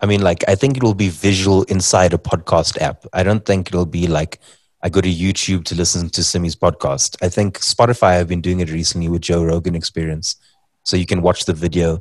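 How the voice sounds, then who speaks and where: A voice with a South African accent moves at a fairly quick pace in a dry, close recording with no echo. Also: man, very deep, low pitch for a man. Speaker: comedian and podcaster. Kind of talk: casual chat. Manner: joking, animated.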